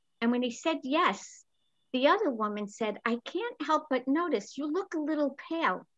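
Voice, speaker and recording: A high-pitched woman with a New York accent and lively intonation, at a moderate pace against a quiet background. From New York City, the Bronx. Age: 70s. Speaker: comedian. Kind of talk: stand-up.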